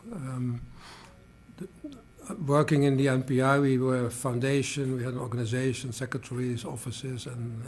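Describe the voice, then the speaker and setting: With noticeable background noise behind him, a man talks at a moderate pace and medium pitch with fairly even intonation. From Netherlands. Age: 70s. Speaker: organizational development consultant. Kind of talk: interview. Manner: halting, many filler sounds.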